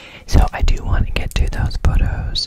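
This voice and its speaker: Loud background noise plays behind a man as he speaks. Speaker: streamer. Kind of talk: casual vlog chat. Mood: playful, light. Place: home room. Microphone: studio mic.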